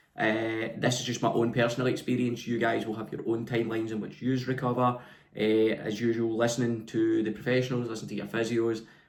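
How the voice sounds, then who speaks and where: The speaker has a Scottish accent. Delivery is fairly quick, with monotone, flat intonation. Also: man, medium pitch for a man. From west of Scotland. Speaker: personal trainer. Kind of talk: vlog monologue.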